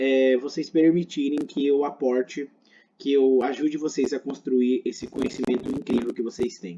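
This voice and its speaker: A man's fairly high-pitched voice, dark and mellow in tone, with ordinary pitch variation. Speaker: medical teacher. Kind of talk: lecture.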